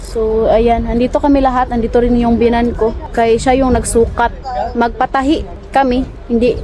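A woman talks at a moderate pace and a high pitch over noticeable background noise. Her intonation is monotone and flat. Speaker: family vlogger. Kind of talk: vlog narration.

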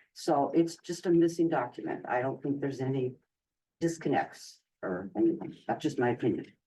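Vocal fry in a dark, mellow tone at a moderate pace, with ordinary pitch variation. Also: man, fairly high pitch for a man. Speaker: school committee member. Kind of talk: public meeting discussion.

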